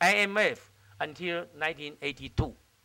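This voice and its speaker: A man speaks with a Chinese accent. His pitch is high. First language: Mandarin Chinese. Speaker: diplomat. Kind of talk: keynote speech. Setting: stage with audience. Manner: halting.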